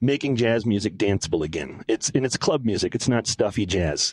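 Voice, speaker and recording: With an American accent, a man in an ordinary speaking voice talks at a fairly quick pace and medium pitch, with ordinary pitch variation and a dry, close sound with no echo. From Minneapolis, Minnesota. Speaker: music venue talent buyer. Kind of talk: interview.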